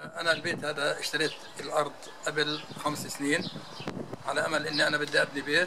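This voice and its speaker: Over noticeable background noise, a man speaks at a moderate pace with a fairly high pitch. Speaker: homeowner facing demolition. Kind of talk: interview answer. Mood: worried, aggrieved. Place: street. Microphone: phone near.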